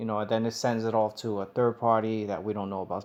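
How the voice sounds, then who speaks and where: A man with an American accent speaks at a fairly quick pace in a medium pitch, his intonation monotone and flat, on a very clean recording with a silent background. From United States. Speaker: tech YouTuber. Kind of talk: tutorial. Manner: hesitant, many fillers.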